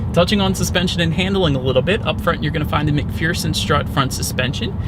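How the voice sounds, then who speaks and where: Talking very fast with lively intonation, a man is heard through audible room echo and noticeable background noise. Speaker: car reviewer. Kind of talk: product review. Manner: loud; casual.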